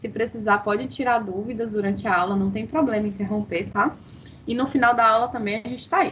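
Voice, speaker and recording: A woman's plain, everyday voice at a fairly quick pace with ordinary pitch variation. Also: fairly high pitch for a woman. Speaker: dentistry lecturer. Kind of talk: online lecture.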